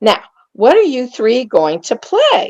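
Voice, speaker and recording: Slowly, at a fairly unhurried pace, a woman uses a put-on character voice pitched high. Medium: read story. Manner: prim, fussy.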